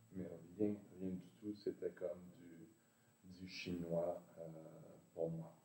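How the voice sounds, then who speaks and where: A man with a very deep, low pitch talks at a very slow pace, leaving long, frequent pauses. His loudness swings a lot. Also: fairly even intonation. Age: 60s. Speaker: meditation practitioner, former classical guitarist. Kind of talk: interview, personal story. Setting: video call. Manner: hesitant, many fillers.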